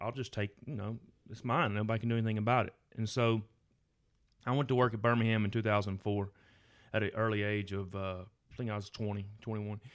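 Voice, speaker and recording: A man with a Southern US accent talks at a very fast pace in a fairly low, flat monotone, with long, frequent pauses. The recording is very clean with a silent background. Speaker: firefighter. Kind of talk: testimony.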